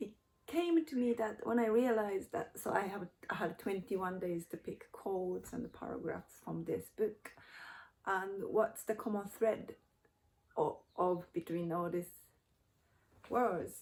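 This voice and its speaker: The speaker has a Japanese accent and a fairly slow pace. Pauses come long and often, and pitch varies in an ordinary way. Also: woman, medium pitch for a woman. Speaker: YouTuber, cultural translator. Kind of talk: personal reflection vlog. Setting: at home in front of bookshelf. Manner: halting.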